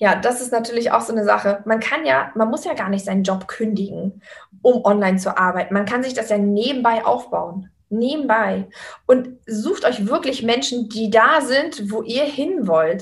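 A somewhat breathy woman's voice, fairly high in pitch, at a moderate pace with lively intonation. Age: 30s. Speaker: physiotherapist turned travelling online entrepreneur. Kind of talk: interview. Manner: animated.

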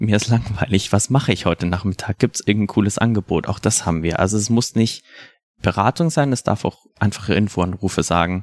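Dry and close with no echo, a man with an ordinary speaking voice talks at a fairly low pitch and fairly quick pace with ordinary pitch variation. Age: 20s. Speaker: student and youth helpline volunteer counselor. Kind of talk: casual interview. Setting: podcast studio.

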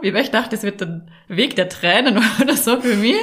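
The voice is a woman's, fairly high and somewhat breathy. She speaks at a moderate pace. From Austria, Vorarlberg. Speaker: podcast host and life coach. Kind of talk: casual chat.

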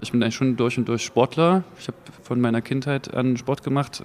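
A man speaks in an unremarkable speaking voice at a medium pitch and fairly quick pace, with fairly even intonation. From eastern Germany, Jena. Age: 30s. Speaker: competitive boulderer. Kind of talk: interview.

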